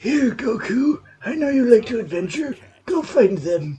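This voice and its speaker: The pace here is moderate. A put-on character voice is used throughout. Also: man, extremely high pitch for a man. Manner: gentle, encouraging.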